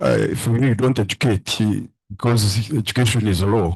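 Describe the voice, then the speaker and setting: Recorded dry and close with no echo over a quiet background, a man talks at a moderate pace in a somewhat breathy voice of medium pitch. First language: a Ugandan language. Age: 70s. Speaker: father-in-law of the candidate. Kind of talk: emotional thank-you speech. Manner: halting.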